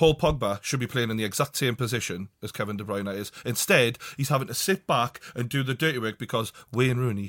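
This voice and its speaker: A medium-pitched man with a Geordie accent and ordinary pitch variation, at a fairly quick pace with hardly any pauses, in a very clean recording with a silent background and a dry, close sound with no echo. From northern England, Newcastle. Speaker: football podcast host. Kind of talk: casual chat. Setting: studio.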